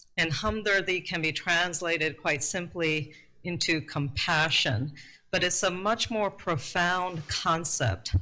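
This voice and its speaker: Very slowly, a woman speaks at a fairly low pitch with a bright, sharp tone and ordinary pitch variation. Her loudness stays very even on a very clean recording with a silent background. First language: Urdu. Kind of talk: prepared talk at a workshop.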